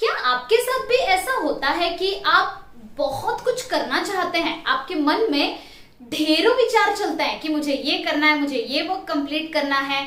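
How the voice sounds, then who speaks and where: A woman with an extremely high pitch and very wide pitch swings is heard against noticeable background noise. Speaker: motivational trainer. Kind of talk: motivational talk to camera.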